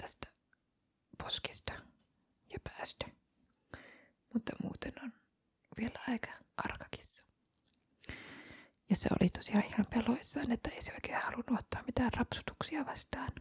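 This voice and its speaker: Whispering in a relaxed tone at a fairly slow pace, a woman leaves long, frequent pauses, her loudness swinging widely, in a dry, close sound with no echo. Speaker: ASMR content creator, cat foster carer. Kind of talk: ASMR ramble, casual chatty talk about cats. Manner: soft-spoken, relaxed, occasionally whispering.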